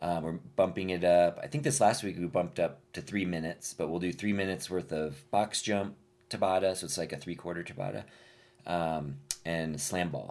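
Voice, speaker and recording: On a very clean recording with a silent background, a man with an American accent speaks in a very deep, low pitch. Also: ordinary pitch variation, moderate pace. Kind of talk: casual chat. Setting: studio.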